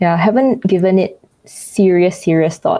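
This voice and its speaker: In a Singaporean accent, a woman talks with lively intonation and a dark, mellow tone. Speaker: YouTuber. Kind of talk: interview. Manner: hesitant, many fillers.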